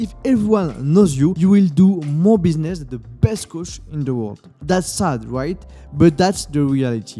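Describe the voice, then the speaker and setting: A man with a French accent speaks at a moderate pace and fairly high pitch, his intonation lively. His loudness swings widely, with music playing in the background. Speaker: fitness business coach. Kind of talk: educational talk to camera.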